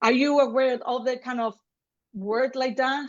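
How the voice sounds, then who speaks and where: Intonation stays fairly even in this voice with a Spanish accent. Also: woman. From Spain, Seville, Andalusia. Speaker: gender specialist. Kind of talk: online lecture.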